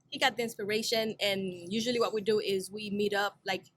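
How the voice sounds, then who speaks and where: A woman with a Haitian accent speaks at medium pitch. Her delivery is very fast and monotone, with flat intonation. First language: Haitian Creole. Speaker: singer, rapper and producer. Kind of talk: interview. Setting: studio.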